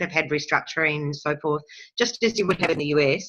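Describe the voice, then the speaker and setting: A woman speaks with a New Zealand accent. Her tone is bright and sharp, with ordinary pitch variation. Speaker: workshop participant. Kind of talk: interactive webinar discussion. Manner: halting. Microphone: choppy connection.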